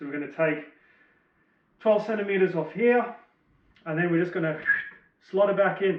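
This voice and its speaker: With an Australian accent, a man speaks with ordinary pitch variation. Audible room echo surrounds his voice. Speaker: motorbike DIY vlogger. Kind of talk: tutorial. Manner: casual.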